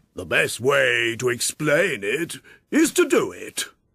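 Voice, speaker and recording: Fairly slow delivery in a man's put-on character voice. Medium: audio drama. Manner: solemn, pompous, formal.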